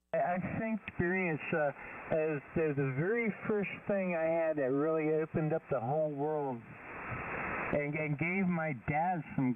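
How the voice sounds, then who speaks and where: Against noticeable background noise, a man talks at a fairly slow pace with very even loudness. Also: fairly high pitch for a man, ordinary pitch variation. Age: 60s. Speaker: amateur radio operator. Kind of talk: casual chat. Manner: halting, many fillers.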